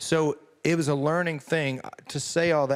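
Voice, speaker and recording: A fairly slow delivery in a rural Southern US accent, on a very clean recording with a silent background. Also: man. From US South. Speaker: country singer. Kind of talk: interview. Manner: hesitant, repeats words.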